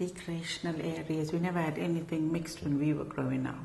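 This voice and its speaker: A woman's very deep, low voice at a moderate pace, fairly even in intonation, with audible room echo. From South Africa. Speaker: oral history interviewee. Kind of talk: oral history interview.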